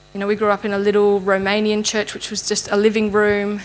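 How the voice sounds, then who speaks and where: Fairly quick speech from a woman with an Australian accent, medium in pitch, over noticeable background noise. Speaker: church member giving testimony. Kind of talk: testimony. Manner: halting.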